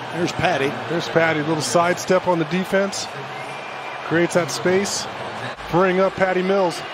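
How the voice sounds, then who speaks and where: A man's high-pitched voice stays monotone and flat at a moderate pace. Noticeable background noise is present. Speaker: basketball TV analyst. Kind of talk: live commentary. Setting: arena broadcast highlights.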